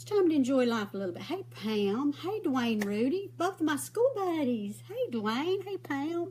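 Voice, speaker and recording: A Southern US accent with very wide pitch swings, big swings in loudness and hardly any pauses. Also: woman, high pitch for a woman, moderate pace. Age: 60s. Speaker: makeup vlogger. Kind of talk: casual chat. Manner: rambling, conversational.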